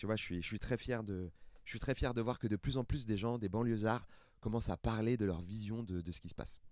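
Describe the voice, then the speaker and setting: Here a man has an ordinary speaking voice at medium pitch. He talks at a fairly quick pace with fairly even intonation. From France, Seine-Saint-Denis (Paris suburbs). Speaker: stand-up comedian. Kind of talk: casual chat.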